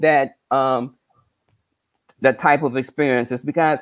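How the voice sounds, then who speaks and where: A man speaking at a fairly slow pace. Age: 60s. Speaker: numerologist. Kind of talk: spiritual talk on live stream. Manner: halting, repetitive.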